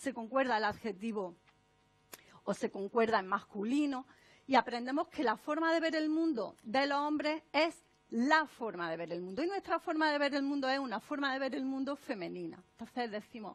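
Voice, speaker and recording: An animated woman speaks in an Andalusian accent at a moderate pace. Her high-pitched voice has lively intonation. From Andalusia, Spain. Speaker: author and speaker on non-sexist language. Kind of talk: conference talk.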